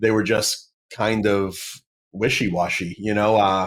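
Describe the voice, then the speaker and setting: This man speaks in a fairly low pitch with fairly even intonation and an American accent. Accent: Boston accent, comes and goes. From Massachusetts, South Shore near Boston. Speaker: apologist, former atheist. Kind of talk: podcast interview. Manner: halting, many fillers and restarts.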